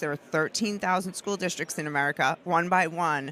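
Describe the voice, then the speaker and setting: This woman's voice sits fairly low in pitch. Her pitch varies in an ordinary way. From New York, Brooklyn. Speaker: activist filmmaker and commentator. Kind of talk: interview. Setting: conference floor. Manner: fast; animated.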